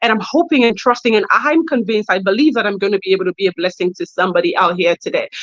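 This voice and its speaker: The speaker has an animated tone. Noticeable noise sits in the background. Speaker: personal branding coach and entrepreneur. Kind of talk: keynote talk. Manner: fast.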